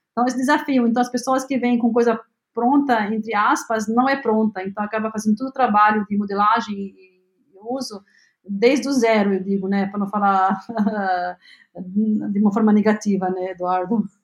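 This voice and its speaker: A woman's fairly high, somewhat breathy voice with fairly even intonation at a moderate pace. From Lebanon. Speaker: health tech company CEO. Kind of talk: interview. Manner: halting, many fillers.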